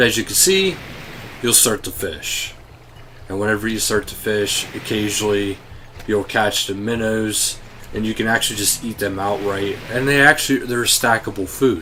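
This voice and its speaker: Noticeable background noise sits behind a man who talks at a moderate pace with ordinary pitch variation. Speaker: gaming YouTuber. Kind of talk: game update walkthrough. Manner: casual, with fillers.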